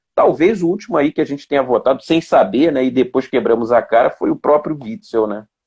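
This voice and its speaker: A man speaks at a fairly high pitch with lively intonation. His pace is fairly quick, with hardly any pauses. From Mato Grosso do Sul, Brazil (raised largely in Rio de Janeiro). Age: 40s. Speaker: police officer and political candidate. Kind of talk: interview. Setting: Instagram live video. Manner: halting, many fillers.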